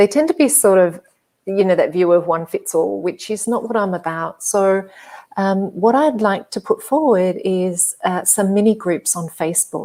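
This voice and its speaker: Speaking at a moderate pace in an Australian accent, a woman uses a dark, mellow tone at medium pitch with ordinary pitch variation. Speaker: hypnotherapist and psychologist. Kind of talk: interview. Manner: soft-spoken; hesitant, many fillers.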